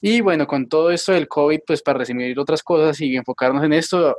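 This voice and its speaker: A man's normal speaking voice, fairly high in pitch, with ordinary pitch variation and a dry, close sound with no echo. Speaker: physician, epidemiologist. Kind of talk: interview. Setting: video call.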